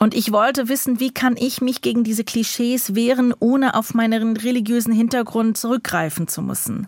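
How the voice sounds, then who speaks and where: A woman speaks at a moderate pace and fairly high pitch, with fairly even intonation. She takes hardly any pauses. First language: English or Yiddish (speaking German). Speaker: writer. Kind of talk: interview. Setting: remote line.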